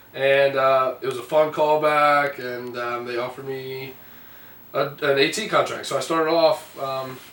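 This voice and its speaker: A man talks at a moderate pace with an American accent. Noticeable background noise and audible room echo fill the recording. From US South, Alabama. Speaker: stage actor. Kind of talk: interview. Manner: casual, hesitant with fillers.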